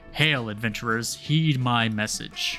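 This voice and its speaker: A man speaks at a medium pitch in a put-on character voice. He talks at a fairly slow pace over clear background music. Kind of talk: archaic, formal, heralding.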